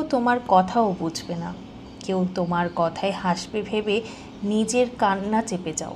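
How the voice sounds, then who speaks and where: This woman has an ordinary speaking voice at medium pitch, with lively intonation. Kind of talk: emotional spoken-word voiceover. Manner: soft, calm, heartfelt.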